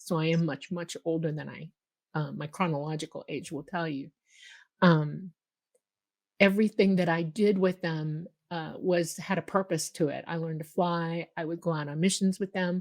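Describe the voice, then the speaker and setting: A woman with an ordinary speaking voice, a fairly low pitch and an American accent talks at a moderate pace with fairly even intonation, in a dry, close sound with no echo on a very clean recording with a silent background. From Miami, Florida. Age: 60s. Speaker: UFO contactee. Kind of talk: interview testimony.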